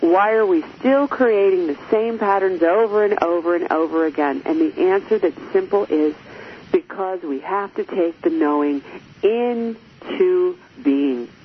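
Amid noticeable background noise, a woman speaks slowly-ish, at a fairly slow pace, her medium-pitched voice making very wide pitch swings. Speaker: radio host and relationship coach. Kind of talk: live radio talk show monologue. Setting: studio. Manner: gets loud when excited.

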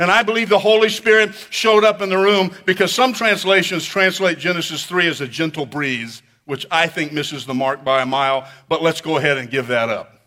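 Bright and sharp in tone, a man talks at a fairly quick pace with hardly any pauses, using a high pitch and lively intonation. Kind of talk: sermon. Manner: animated, building to a dramatic, rhetorical pitch; call-and-response, urging the congregation to repeat lines loudly.

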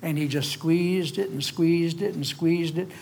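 A man talks at a fairly quick pace and a fairly high pitch. His intonation stays fairly even, with audible room echo. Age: old. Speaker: preacher. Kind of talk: sermon.

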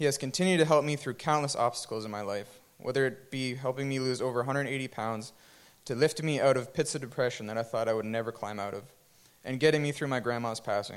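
With ordinary pitch variation and a medium pitch, a man talks at a fairly quick pace. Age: 20s. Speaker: church worship musician. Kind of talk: testimony. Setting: church.

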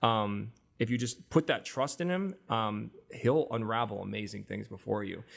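A man speaks with an American accent in a normal speaking voice at medium pitch. His intonation is lively and his pace moderate. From US Midwest and Arizona (Iowa, Tempe). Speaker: music artist manager. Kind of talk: casual chat.

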